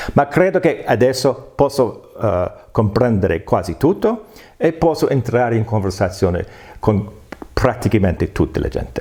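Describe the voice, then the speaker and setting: With an American accent, a man of medium pitch talks at a fairly slow pace with lively intonation. Noticeable background noise runs underneath. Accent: American accent in Italian, clearly foreign. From United States. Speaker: political science professor. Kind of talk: interview. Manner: halting.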